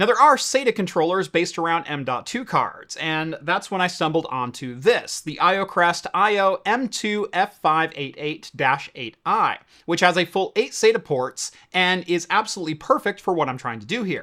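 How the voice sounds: A man speaks at a moderate pace with few pauses, his high-pitched voice bright and sharp in tone and his intonation lively.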